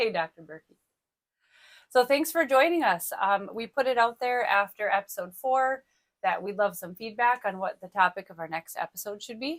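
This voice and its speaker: A soft-spoken woman with a fairly high pitch, lively intonation and a moderate pace, in a dry, close sound with no echo. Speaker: educator podcast host. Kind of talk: casual chat. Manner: hesitant, many ums.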